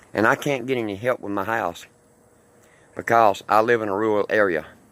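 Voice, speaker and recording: A fairly low-pitched man in a Mississippi accent, at a fairly quick pace with ordinary pitch variation. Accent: Mississippi Southern US. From US South. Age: 60s. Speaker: homeowner seeking help. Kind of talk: personal appeal video.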